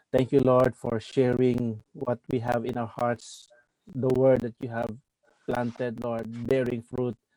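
Speaking at a fairly slow pace in a medium-pitched voice, a man delivers flat, monotone lines with a dark, mellow tone on a dry, close recording with no echo. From Philippines, General Santos. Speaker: pastor. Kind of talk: prayer; interview.

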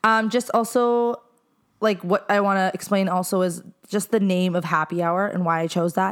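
The pace is moderate and the intonation fairly even. It is an ordinary speaking voice. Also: woman, medium pitch for a woman. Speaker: podcast host. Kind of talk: casual chat. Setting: living room at home.

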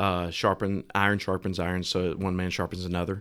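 He speaks with an Alabama accent. His voice is very deep and low. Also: very clean recording, silent background. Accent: Southern US (Alabama). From Alabama, US South. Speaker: restaurant franchise owner. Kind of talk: casual interview chat. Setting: studio.

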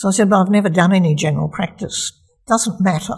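A woman speaks with an Australian accent. Her pitch is medium, with ordinary pitch variation. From Australia, Melbourne. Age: 70s. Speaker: retired community health doctor. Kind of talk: personal life story interview. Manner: halting, with fillers.

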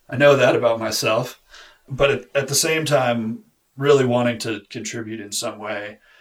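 Using an ordinary speaking voice at a medium pitch, a man talks with fairly even intonation and big swings in loudness. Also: moderate pace. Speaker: bow maker. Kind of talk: interview.

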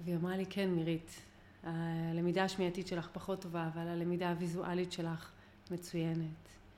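At a moderate pace, a dark, mellow voice comes through with audible room echo. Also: woman, fairly low pitch for a woman. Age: 40s. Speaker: mind-mapping lecturer. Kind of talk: interview. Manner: energetic.

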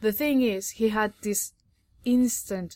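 A woman talks in a Spanish accent. The recording is very clean, and the background is silent. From Catalonia, Spain. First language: Spanish or Catalan. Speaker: sports journalist. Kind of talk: casual chat. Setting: on location at a tennis tournament.

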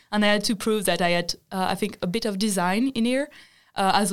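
Intonation stays fairly even at a fairly quick pace. The recording is very clean, with a silent background. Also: woman. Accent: French. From France. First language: French. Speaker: design student. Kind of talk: casual chat.

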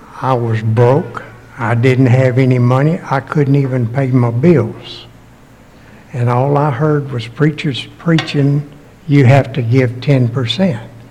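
Noticeable background noise sits behind a man at a medium pitch. He talks at a very slow pace with fairly even intonation. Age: 80s+. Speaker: preacher. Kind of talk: sermon. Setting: church.

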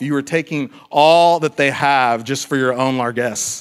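A normal speaking voice from a man, moderate in pace, with ordinary pitch variation. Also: very clean recording, silent background. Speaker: pastor. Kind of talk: sermon. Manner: casual, conversational.

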